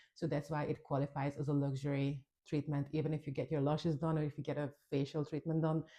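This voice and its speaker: A woman's very deep, low voice in a Hungarian accent, dark and mellow in tone, monotone and flat, at a very fast pace against a quiet background. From Hungary. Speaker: nail technician and trainer. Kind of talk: tutorial. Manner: casual, conversational.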